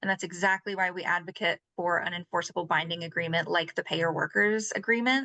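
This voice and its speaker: Recorded dry and close with no echo over a quiet background, a woman with a bright, sharp tone speaks fairly quickly at a fairly low pitch with ordinary pitch variation. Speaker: labor rights advocate. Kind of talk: panel discussion answer. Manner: fast.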